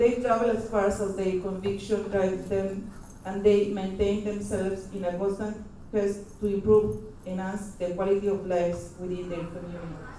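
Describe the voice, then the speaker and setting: A woman talks at a moderate pace in a medium-pitched, flat monotone, with noticeable background noise and audible room echo. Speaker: conference speaker. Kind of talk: reading aloud a presentation. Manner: reading from script.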